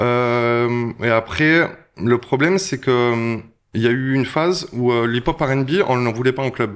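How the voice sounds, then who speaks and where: The setting is a quiet background. In it, a man talks at a very slow pace. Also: medium pitch for a man, ordinary pitch variation. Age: 40s. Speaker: DJ. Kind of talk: casual interview chat. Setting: restaurant.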